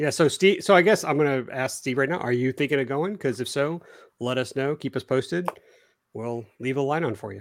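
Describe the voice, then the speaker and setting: A man with an unremarkable speaking voice talks at a fairly quick pace with a fairly high pitch and ordinary pitch variation. The recording is very clean, with a silent background. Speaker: RC hobby podcast host. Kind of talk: casual chat, live stream.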